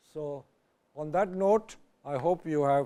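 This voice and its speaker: A man with a fairly high pitch and a dark, mellow tone. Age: 80s+. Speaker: guest speaker, plant expert and author. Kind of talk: lecture; audience Q&A.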